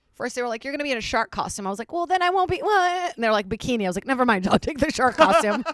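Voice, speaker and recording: A woman speaks very fast at a high pitch. Her pitch swings very widely. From Brazil (São Paulo), moved to Virginia at 11. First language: Portuguese. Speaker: stand-up comedian. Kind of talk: casual chat. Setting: podcast studio at comedy club.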